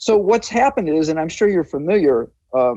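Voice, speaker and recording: In an American accent, a man with a dark, mellow tone speaks at a moderate pace with very wide pitch swings against a quiet background. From Chicago, US Midwest. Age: 70s. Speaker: public health physician. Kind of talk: interview.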